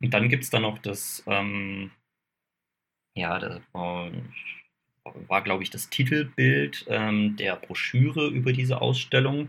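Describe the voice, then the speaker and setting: Speaking at a very slow pace with long, frequent pauses, a man with a fairly low pitch makes very wide pitch swings. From southern Baden, Kaiserstuhl near Freiburg. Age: 20s. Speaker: photographer and camera shop adviser. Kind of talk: casual interview.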